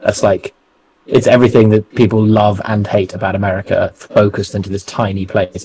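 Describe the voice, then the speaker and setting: A man's fairly low voice with a London accent and fairly even intonation. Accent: southern English (London). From England. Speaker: co-host of trading livestream. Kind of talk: casual chat.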